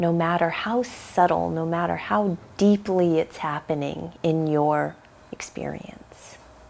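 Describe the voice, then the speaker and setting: Over noticeable background noise, a woman speaks at a very slow pace. Her pitch is fairly low, with ordinary variation. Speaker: yoga teacher. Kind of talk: guided meditation. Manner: soft-spoken.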